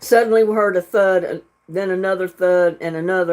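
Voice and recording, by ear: Over a quiet background, someone reads aloud in a natural voice with fairly even intonation.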